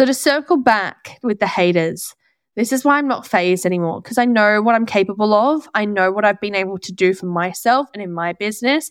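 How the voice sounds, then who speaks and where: A woman with an Australian accent at a fairly quick pace, ordinary pitch variation, quiet background. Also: medium pitch for a woman. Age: 20s. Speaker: skin therapist and business coach podcaster. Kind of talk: solo podcast monologue. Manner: chatty, animated.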